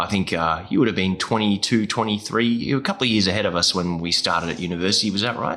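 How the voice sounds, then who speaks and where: A man's fairly low voice with a bright, sharp tone, at a very fast pace with hardly any pauses. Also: ordinary pitch variation. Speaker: podcast host, music teaching educator. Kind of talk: casual interview chat.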